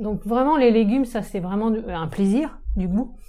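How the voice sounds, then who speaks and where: Vocal fry runs through this woman's medium-pitched voice, which has a dark, mellow tone. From Brittany, France (Saint-Brieuc, Côtes d'Armor). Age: 40s. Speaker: urban agriculture entrepreneur. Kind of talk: casual interview. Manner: hesitant, many fillers.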